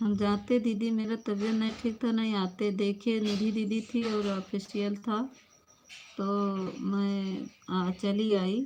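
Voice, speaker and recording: A woman talks at medium pitch in a monotone, flat intonation. Her voice is somewhat breathy, with a dark, mellow tone. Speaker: live stream host. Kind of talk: live stream chat with viewers. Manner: casual, chatty.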